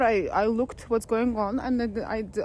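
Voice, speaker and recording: Speaking with a Lithuanian accent, a woman keeps a fairly high pitch, fairly even intonation and a fairly slow pace. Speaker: spiritual vlogger. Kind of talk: personal vlog monologue. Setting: outdoors in a forest. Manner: halting, with false starts.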